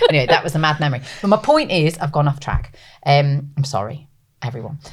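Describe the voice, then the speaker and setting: In a British accent, a woman talks at a very fast pace with an animated tone, a very deep, low pitch, ordinary pitch variation and a somewhat breathy quality. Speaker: podcast co-host and maternity campaigner. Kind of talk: casual chat.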